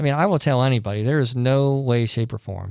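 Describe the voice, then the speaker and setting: The recording is very clean, with a silent background. A man speaks at a fairly quick pace with ordinary pitch variation. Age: 40s. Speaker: church podcast panelist. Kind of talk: casual faith discussion. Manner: halting.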